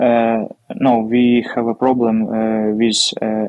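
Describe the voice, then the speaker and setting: With a Ukrainian accent, a man speaks at a very slow pace. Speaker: military officer. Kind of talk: interview. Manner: halting.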